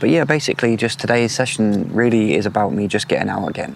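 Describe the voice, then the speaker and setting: Fairly quick, medium-pitched speech from a man, ordinary in pitch variation, over noticeable background noise. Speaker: angler vlogger. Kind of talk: casual vlog narration. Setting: outdoors. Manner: quiet.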